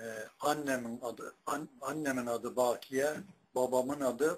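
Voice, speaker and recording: A man's very slow speech in a monotone, flat intonation. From Turkey. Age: 80s+. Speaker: retired imam and muezzin; retired imam. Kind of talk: personal life story. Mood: calm, modest. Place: home room. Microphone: webcam.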